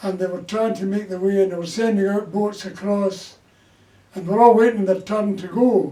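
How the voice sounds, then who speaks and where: In a Glaswegian accent, a man with a high pitch speaks at a moderate pace with monotone, flat intonation. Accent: Glaswegian Scottish. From Scotland, Glasgow. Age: 80s+. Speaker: war-era storyteller. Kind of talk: casual interview.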